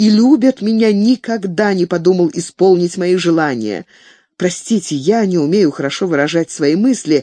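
Someone reading aloud in a natural voice

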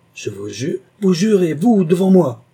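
A man speaks in a put-on character voice, pitched high with big swings up and down. His tone is dark and mellow with a slightly husky edge, and he talks at a fairly slow pace.

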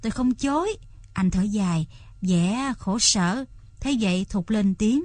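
A natural voice, reading aloud

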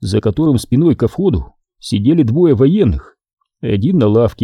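Intonation is lively in this unforced reading voice, heard against a quiet background.

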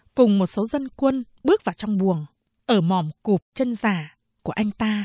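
The background stays quiet as someone reads aloud plainly.

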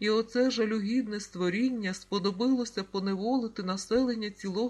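The words come in a natural reading voice.

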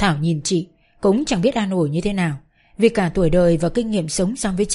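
Plain reading aloud with ordinary pitch variation

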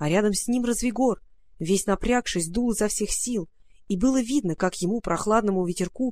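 With ordinary pitch variation, a person reads aloud in a natural voice.

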